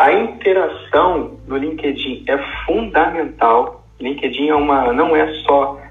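Audible room echo hangs around the voice of a man as he talks. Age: 30s. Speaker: career coach and merchant navy officer. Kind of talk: podcast interview.

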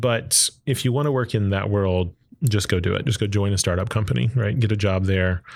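An ordinary speaking voice from a man with an American accent, fairly low in pitch, at a fairly quick pace, with very even loudness, ordinary pitch variation, and a very clean recording with a silent background. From Texas, Arlington. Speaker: engineer and entrepreneur. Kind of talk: interview.

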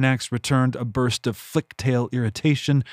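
In a dramatic tone, a man of medium pitch speaks at a moderate pace. The recording is very clean with a silent background, dry and close with no echo. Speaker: audiobook narrator and author. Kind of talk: literary audiobook reading, scripted fantasy narration with character dialogue. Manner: steady storyteller's pace, dramatic and suspenseful in action and tense moments.

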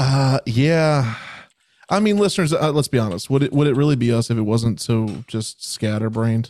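A man with an ordinary speaking voice talks at a moderate pace and medium pitch, his intonation lively and his loudness very even. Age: 20s. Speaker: music podcast co-host. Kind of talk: casual chat.

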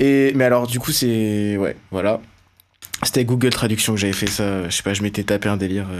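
Using an ordinary speaking voice, a man talks at a moderate pace and fairly low pitch, keeping his intonation fairly even. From France, Burgundy (Beaune, Côte-d'Or). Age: 20s. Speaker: electronic music producer. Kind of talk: casual chat.

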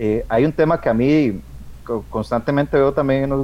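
The man's voice has a dark, mellow tone. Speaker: aquarium hobbyist, association member. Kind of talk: radio talk show discussion.

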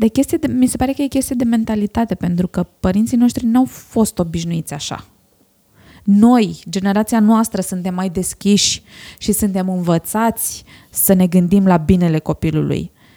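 A woman speaks at a moderate pace and medium pitch, with a dark, mellow tone. Her somewhat breathy voice shows ordinary pitch variation in a dry, close sound with no echo. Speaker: podcast host. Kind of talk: interview.

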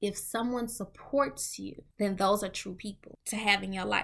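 Animated in tone, a woman with an American accent and vocal fry talks at a moderate pace. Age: 20s. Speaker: podcast host. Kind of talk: casual monologue.

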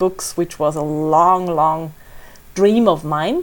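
On a very clean recording with a silent background, the words come at a very slow pace. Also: woman. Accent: German. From Austria, Salzburg. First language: German. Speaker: author and travel blogger. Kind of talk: interview.

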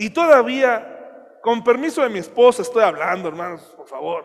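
This man speaks at a fairly slow pace. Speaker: pastor. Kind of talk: sermon.

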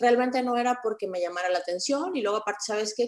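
It is an ordinary speaking voice. The woman's pitch is medium. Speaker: lawyer and online content creator. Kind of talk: interview.

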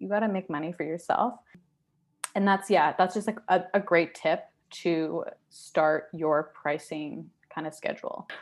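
The speaker talks at a fairly slow pace with ordinary pitch variation in a normal speaking voice. The recording is very clean, with a silent background. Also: woman, fairly low pitch for a woman. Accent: Canadian. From Canada, Surrey, British Columbia. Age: 20s. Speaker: photographer and small business owner. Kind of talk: casual interview.

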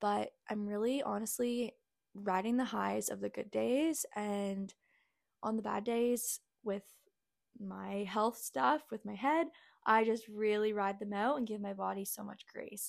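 On a very clean recording with a silent background, a woman speaks fairly slowly at a fairly high pitch with ordinary pitch variation. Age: 20s. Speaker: health coach and podcast host. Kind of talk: solo podcast monologue. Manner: casual, filler-heavy. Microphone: new microphone set.

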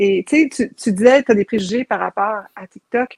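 A plain, everyday voice moves at a moderate pace, with a dry, close sound and no echo. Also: woman. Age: 40s. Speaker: TikTok content creator. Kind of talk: casual interview chat.

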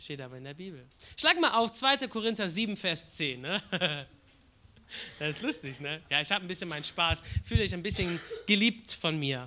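A man's high, bright, sharp voice at a moderate pace, with lively intonation and long, frequent pauses. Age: 20s. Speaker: guest preacher. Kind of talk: sermon.

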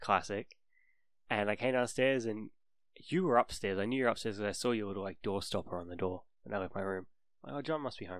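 A man with a New Zealand accent talks at a very fast pace, captured in a very clean recording with a silent background. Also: fairly low pitch for a man, ordinary pitch variation. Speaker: podcast co-host. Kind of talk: casual chat.

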